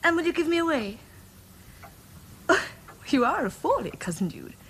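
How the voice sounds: A woman puts on a character voice, high-pitched with big pitch swings and vocal fry, at a moderate pace.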